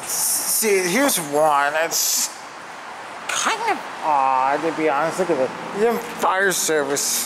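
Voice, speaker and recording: Noticeable background noise sits under a man whose pitch varies in an ordinary way. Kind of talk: casual commentary. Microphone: phone near.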